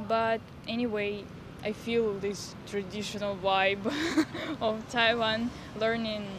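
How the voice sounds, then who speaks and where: This woman has a fairly high pitch. She speaks with a Russian accent. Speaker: exchange student. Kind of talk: street interview. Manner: halting.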